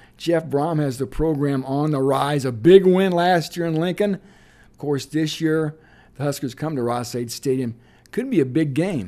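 This man speaks with a Midwestern American accent at a fairly slow pace, his pitch fairly high with ordinary variation. His tone is dark and mellow, and the recording is very clean with a silent background. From Indiana. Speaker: college football writer. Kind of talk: casual interview. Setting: on location at a convention.

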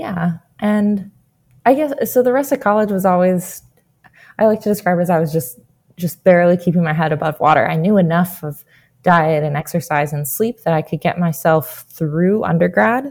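A woman with an American accent speaks at a moderate pace in a plain, everyday voice. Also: fairly low pitch for a woman, lively intonation. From New Jersey. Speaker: physician assistant student. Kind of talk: interview.

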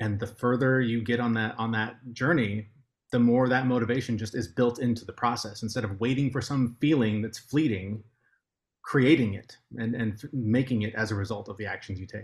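The voice is a man's and somewhat breathy. It comes through a very clean recording with a silent background. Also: medium pitch for a man, fairly quick pace. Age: 40s. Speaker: podcast host and health advocate. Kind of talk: interview.

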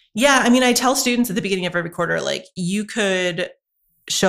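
A woman's very fast speech with vocal fry and ordinary pitch variation. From US South, North Carolina. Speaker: university lecturer and student affairs staff. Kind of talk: interview. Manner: professional.

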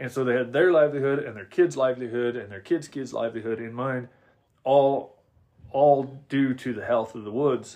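Man with an American accent and a dark, mellow tone, at a moderate pace with big swings in loudness. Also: medium pitch for a man, fairly even intonation. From Oregon. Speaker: horse trainer. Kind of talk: casual chat. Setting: home music room.

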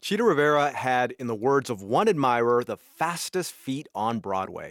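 In a very clean recording with a silent background and a dry, close sound with no echo, a man talks at a moderate pace. He has an unremarkable speaking voice at a medium pitch. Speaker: radio news host. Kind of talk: interview.

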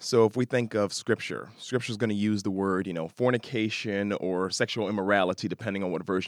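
A man with an American accent speaks in a normal speaking voice at a fairly quick pace, his pitch fairly low and ordinary in its variation, with a dry, close sound and no echo. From Chicago. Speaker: professor. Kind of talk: casual chat. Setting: studio.

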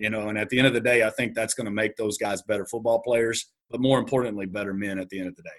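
In a West Texas accent, a man with a medium pitch speaks in a bright, sharp tone. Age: young. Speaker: high school football coach. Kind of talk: interview.

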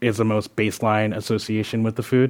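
An American accent comes through with monotone, flat intonation. The recording is very clean, with a silent background. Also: man. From Philadelphia. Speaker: chef. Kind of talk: panel talk. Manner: halting, many fillers.

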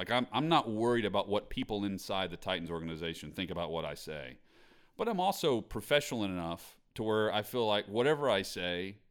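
A man with a normal speaking voice and fairly low pitch talks at a fairly quick pace in a very clean recording with a silent background. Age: 30s. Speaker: sports radio host. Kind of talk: interview.

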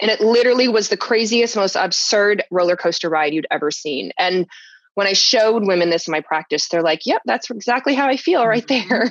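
The sound is dry and close with no echo as a woman speaks fairly quickly at a fairly high pitch, her intonation lively and her loudness very even. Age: 40s. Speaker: naturopathic doctor, women's hormone educator. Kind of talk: interview conversation.

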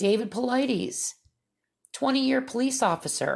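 Against a quiet background, a woman speaks at a moderate pace with vocal fry. Her tone is animated. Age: 50s. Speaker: podcaster on spiritual and paranormal topics. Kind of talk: solo monologue.

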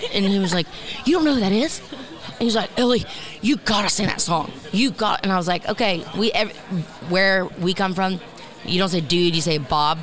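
Crowd noise fills the background as a woman talks with an American accent. Her intonation is lively. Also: medium pitch for a woman, moderate pace. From New York. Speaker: country singer. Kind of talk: casual interview.

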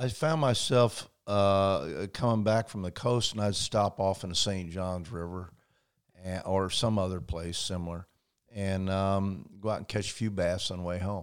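In a normal speaking voice, a man talks at a fairly slow pace with fairly low pitch and ordinary pitch variation, on a very clean recording with a silent background. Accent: American. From Indiana. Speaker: fly-fishing instructor. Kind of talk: casual interview. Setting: living room.

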